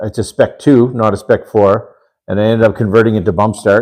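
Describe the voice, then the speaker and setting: A man speaks at a moderate pace with a fairly low pitch. His tone is dark and mellow, and his intonation fairly even. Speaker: RC hobby livestreamer. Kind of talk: live stream chat. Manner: loud; halting, many fillers.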